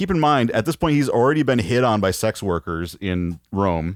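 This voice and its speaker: A man with an American accent at a moderate pace, very wide pitch swings, a very clean recording with a silent background, and a dry, close sound with no echo. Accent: slides between Wisconsin and Chicago accents. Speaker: podcast host. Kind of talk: casual chat.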